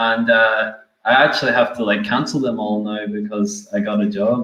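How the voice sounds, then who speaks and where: A man with an Irish accent speaks at a moderate pace and medium pitch, his intonation fairly even, with audible room echo. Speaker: software developer. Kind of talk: casual chat.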